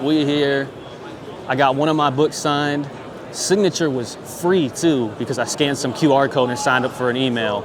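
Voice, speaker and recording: Audible room echo and noticeable background noise surround a man with an American accent and a fairly high pitch. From Michigan, small town. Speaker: vlogger. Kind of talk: vlog filmed on the spot. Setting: convention hall. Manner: fast; stuttering.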